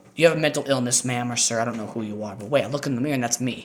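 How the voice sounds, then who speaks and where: Noticeable noise in the background beneath ordinary rises and falls in pitch. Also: man. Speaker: musician vlogger. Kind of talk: casual monologue. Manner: animated.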